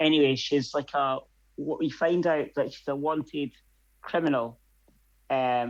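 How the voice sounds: At a slow pace, a man talks with a medium pitch.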